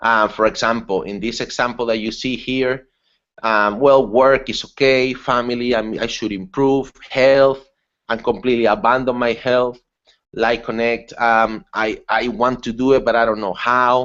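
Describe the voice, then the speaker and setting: A man has an unremarkable speaking voice, keeping a medium pitch, a moderate pace and fairly even intonation. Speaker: webinar presenter. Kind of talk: online seminar talk. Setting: online webinar.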